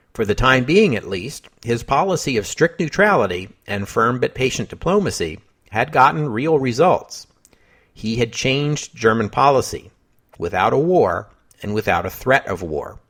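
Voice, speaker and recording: Vocal fry runs through this man's medium-pitched voice as he speaks at a moderate pace with very wide pitch swings. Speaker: history podcast host. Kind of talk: scripted narration; podcast sign-off. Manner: measured.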